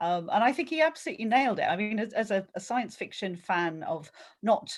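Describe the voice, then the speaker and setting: A woman with vocal fry and a medium pitch talks at a moderate pace with very wide pitch swings, captured in a very clean recording with a silent background. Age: 60s. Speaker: book club member. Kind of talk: casual chat.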